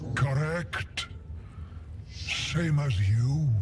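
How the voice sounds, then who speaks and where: A man puts on a hoarse, croaky character voice at a medium pitch, with clear background noise behind him. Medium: video game.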